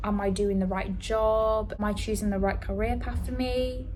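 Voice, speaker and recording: In a Yorkshire accent, a woman talks at a moderate pace, with audible room echo and music in the background. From northern England, Leeds. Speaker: vlogger. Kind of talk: casual vlog monologue. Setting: on a ferry, outdoors. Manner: whispering, quiet.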